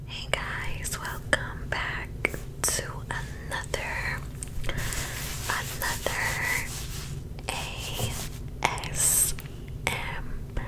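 A woman at a very slow pace, with long, frequent pauses, over loud background noise. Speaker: ASMR creator. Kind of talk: ASMR show-and-tell. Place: home room. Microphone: studio mic.

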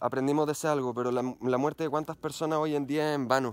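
A man with a Chilean accent speaks at a very fast pace and fairly high pitch, with fairly even intonation and a dry sound with no echo. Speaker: mountain bike YouTuber. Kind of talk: personal vlog monologue. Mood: earnest, reflective. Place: forest. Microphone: phone near.

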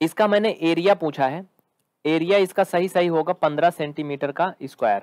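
This man's voice sits high for a man, with ordinary pitch variation and a dry, close sound with no echo. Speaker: maths teacher. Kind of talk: live online lecture. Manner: animated.

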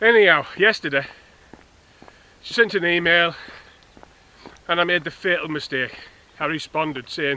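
A man talks at a moderate pace with lively intonation and long, frequent pauses. The sound is dry, with no echo. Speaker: vlogger. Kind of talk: casual vlog chat, personal rant. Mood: exasperated, ranting. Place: open country. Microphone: phone near.

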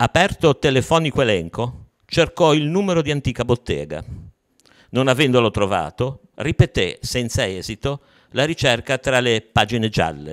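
A man's moderate-paced speech with vocal fry against a quiet background. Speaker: poet and writer. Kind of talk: poetry reading of prose poems, read aloud. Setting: online video session. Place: hall. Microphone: handheld.

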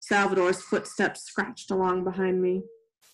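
The text is read aloud in a natural voice, with only a quiet background behind it.

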